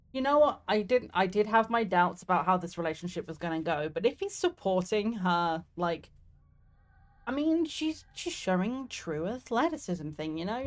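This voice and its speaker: With a southeast English accent, the speaker's voice moves through very wide pitch swings. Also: woman. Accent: mild southeast English, near London. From southeast England. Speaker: streamer. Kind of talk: gameplay commentary. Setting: live stream. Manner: animated.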